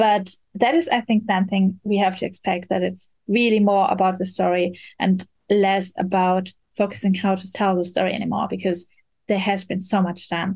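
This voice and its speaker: Speaking with a German accent at a moderate pace, a woman of medium pitch sounds somewhat breathy, with monotone, flat intonation. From Germany. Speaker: VR journalist and critic. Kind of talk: casual chat.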